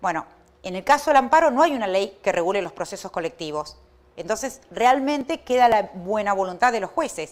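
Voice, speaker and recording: A woman at a medium pitch speaks at a fairly quick pace with very wide pitch swings. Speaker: law professor. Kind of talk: lecture. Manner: fast.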